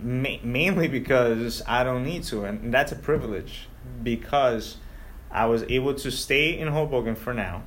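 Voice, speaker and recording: Audible room echo surrounds a man with a Spanish accent. He talks fairly slowly with ordinary pitch variation. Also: medium pitch for a man. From Ecuador. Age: 30s. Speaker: local politician. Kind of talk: interview.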